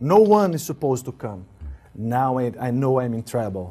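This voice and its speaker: Speaking in an Italian accent at a moderate pace, a man has a medium pitch and a dark, mellow tone. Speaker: spiritual teacher. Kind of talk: interview. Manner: halting, repetitive.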